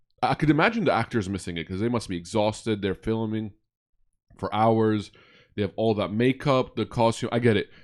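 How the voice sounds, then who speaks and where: In a very clean recording with a silent background, a man uses a normal speaking voice at a medium pitch, talking at a fairly quick pace with ordinary pitch variation. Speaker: podcast host. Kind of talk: casual interview chat. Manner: casual, chatty.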